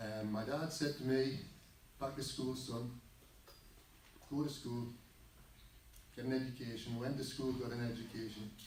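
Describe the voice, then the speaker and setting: With audible room echo, a man speaks at a moderate pace and medium pitch in a flat monotone, pausing long and often. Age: 60s. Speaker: farming campaigner and engineer. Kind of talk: public talk. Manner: halting.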